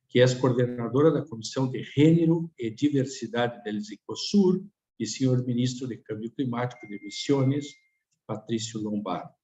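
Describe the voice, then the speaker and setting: At a moderate pace, a man talks in a somewhat breathy voice of medium pitch, with ordinary pitch variation and big swings in loudness. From Tucumán, Argentina. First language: Spanish (speaking Portuguese). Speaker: speaker at a webinar. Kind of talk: webinar presentation. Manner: halting, with many fillers.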